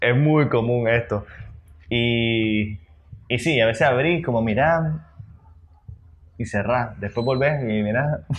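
A man at medium pitch with ordinary pitch variation, speaking at a very slow pace with long, frequent pauses. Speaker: podcast co-host. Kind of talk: casual chat. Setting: recording at 11 pm, keeping quiet. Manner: holding volume down.

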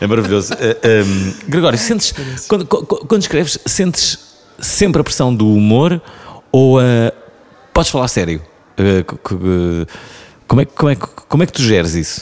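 A man's medium-pitched voice in a European Portuguese accent, with very wide pitch swings and long, frequent pauses. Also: moderate pace. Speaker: podcast host. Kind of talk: casual interview.

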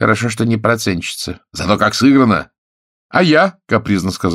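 The quiet background holds an unforced reading voice with lively intonation.

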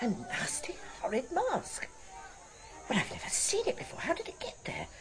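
A woman does a put-on character voice, high-pitched with very wide pitch swings and a fairly bright tone, at a moderate pace over faint background noise.

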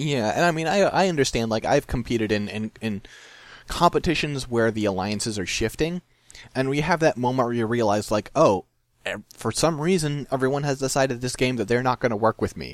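Speaking at a fairly quick pace, a man talks with a medium pitch. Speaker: podcast host and game master. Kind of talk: casual chat, game-show style. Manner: matter-of-fact, even tone.

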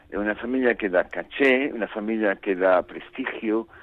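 A man talks in an Italian accent. He speaks at a fairly slow pace with ordinary pitch variation. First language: Italian (speaking Spanish). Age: 60s. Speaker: novelist. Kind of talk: interview.

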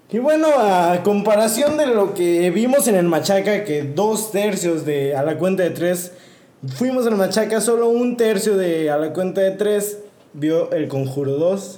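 With audible room echo and noticeable background noise, a man speaks in a high pitch with lively intonation and very even loudness. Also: fairly slow pace. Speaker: podcast co-host. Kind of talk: casual chat.

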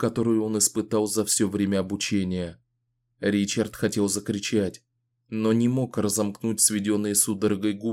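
Quiet background, natural reading voice

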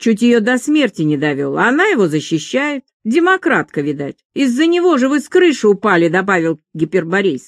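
The background stays quiet behind a natural reading voice.

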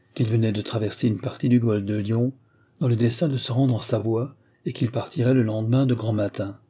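Intonation is fairly even in this unforced reading voice.

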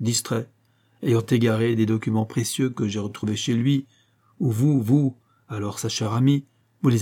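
Simply a natural reading voice

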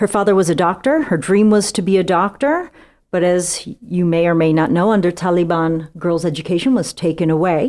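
A woman with a plain, everyday voice, fairly low pitch, ordinary pitch variation, very even loudness, and a fairly quick pace. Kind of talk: casual podcast interview.

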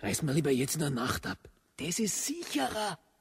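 Putting on a character voice, a man swings his fairly high pitch very widely, with a husky, rough edge and vocal fry, at a moderate pace.

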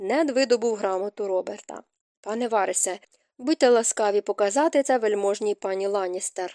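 Over a quiet background, someone is reading aloud in a natural voice with ordinary pitch variation.

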